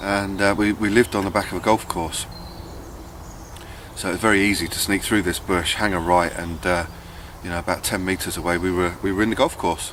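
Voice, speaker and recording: A man with a southern English accent speaks at a fairly quick pace in a very deep, low, monotone voice, with long, frequent pauses. Noticeable background noise is present. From southern England, Buckinghamshire. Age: 30s. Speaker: bushcraft vlogger. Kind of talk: casual vlog monologue. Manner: hesitant, many fillers.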